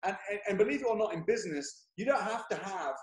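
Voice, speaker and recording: Someone speaks loudly with an English accent, using an energetic tone at a fairly quick pace. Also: man. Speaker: property investor. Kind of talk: interview. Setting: video call. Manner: loud, energetic.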